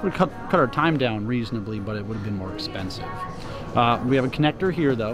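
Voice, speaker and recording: Clear music plays in the background as a man speaks, the sound dry with no echo. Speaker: travel vlogger. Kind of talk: casual vlog chat. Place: station. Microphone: phone near.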